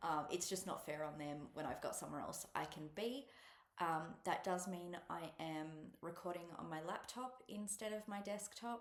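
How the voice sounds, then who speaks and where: With an Australian accent, a woman speaks at a moderate pace in a fairly low pitch, and the room echo is audible. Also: ordinary pitch variation. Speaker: cross-stitch vlogger. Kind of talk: casual chat. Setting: at a relative's house, alone. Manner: soft-spoken; hesitant, many ums. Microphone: laptop mic.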